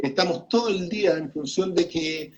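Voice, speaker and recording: Pitching his voice high, a man varies it in the usual way. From Chile. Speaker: journalist and radio broadcaster. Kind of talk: interview answer.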